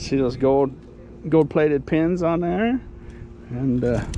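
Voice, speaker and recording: There is noticeable background noise as a man talks fairly slowly, his fairly high voice carrying lively intonation. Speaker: dumpster diving vlogger. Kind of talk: casual vlog commentary. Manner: words run together, slurred-sounding.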